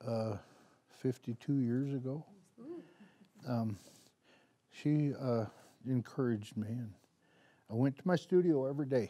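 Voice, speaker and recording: At a fairly slow pace and with long, frequent pauses, a man speaks at a medium pitch in a dark, mellow tone with ordinary pitch variation. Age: 70s. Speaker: artist. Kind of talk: live demonstration talk. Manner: casual, halting.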